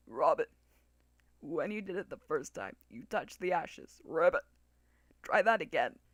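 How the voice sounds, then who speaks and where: Putting on a character voice, a man speaks high and croaky at a moderate pace, with long, frequent pauses. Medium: read story. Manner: punctuates speech with croaked ribbits.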